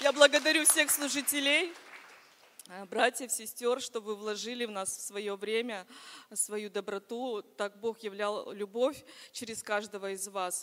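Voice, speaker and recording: A woman's bright, sharp voice at a fairly high pitch, with ordinary pitch variation, big swings in loudness, a fairly slow pace and long, frequent pauses. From Vologda region, Russia. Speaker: churchgoer giving testimony. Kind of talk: testimony. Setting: church service with congregation.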